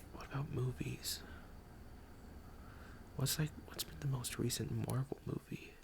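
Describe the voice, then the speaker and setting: Whispering, a man talks at a fairly slow pace. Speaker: ASMR creator. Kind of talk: ASMR casual talk to viewer. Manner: soft-spoken.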